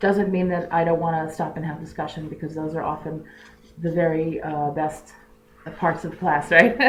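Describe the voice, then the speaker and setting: A woman speaks with a fairly low pitch at a moderate pace. Audible room echo surrounds her voice. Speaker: religious teacher. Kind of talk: lecture.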